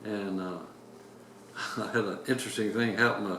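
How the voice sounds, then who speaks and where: A man with an American accent speaks at a moderate pace. Noticeable background noise runs underneath. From Indianapolis, Indiana, USA. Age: 80s+. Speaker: retired navy captain, war veteran. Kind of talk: interview answer.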